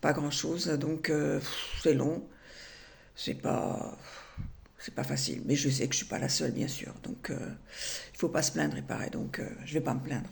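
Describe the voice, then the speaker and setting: Delivery comes at a fairly slow pace with long, frequent pauses and audible room echo. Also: woman. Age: 70s. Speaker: retired vlogger. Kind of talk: personal vlog monologue. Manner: halting, many hesitations.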